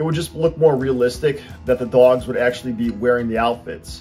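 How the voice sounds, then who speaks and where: Over faint music in the background, a man talks at a fairly quick pace with ordinary pitch variation. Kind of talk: tutorial. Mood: friendly, light humour.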